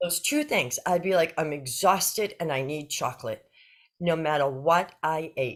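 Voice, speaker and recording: A woman's animated voice with lively intonation at a fairly slow pace. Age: 60s. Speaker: interview guest sharing health story. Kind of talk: casual interview.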